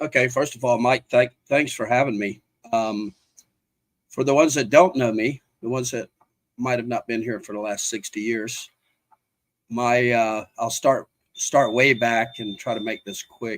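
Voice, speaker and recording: A man with an American accent speaks at a moderate pace with medium pitch and fairly even intonation. He takes long, frequent pauses, and the sound is dry and close with no echo. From US South, South Carolina Lowcountry. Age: 60s. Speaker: mayoral candidate, oyster business owner. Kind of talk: interview.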